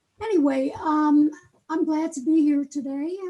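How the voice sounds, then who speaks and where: A woman at a moderate pace. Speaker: patient experience consultant. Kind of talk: webinar presentation. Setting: webinar.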